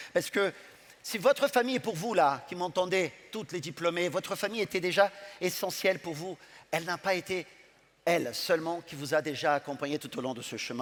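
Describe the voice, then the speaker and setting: A man with a high pitch and a warm tone talks at a fairly quick pace with lively intonation and a strong non-native accent. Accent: foreign accent in French, strong. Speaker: business school leader. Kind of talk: graduation ceremony speech. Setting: ceremony hall with audience. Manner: warm, emphatic with repetitions.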